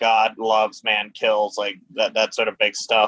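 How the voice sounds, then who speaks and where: This man has a normal speaking voice at medium pitch, going at a fairly slow pace. The sound is dry and close, with no echo. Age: 20s. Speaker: astronomy graduate and podcast guest. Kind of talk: casual chat.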